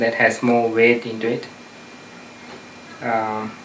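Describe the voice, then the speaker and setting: A man of medium pitch speaks at a very slow pace amid noticeable background noise and audible room echo. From outside the US. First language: not English. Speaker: self-help advice giver. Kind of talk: interview advice talk. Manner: hesitant, many fillers.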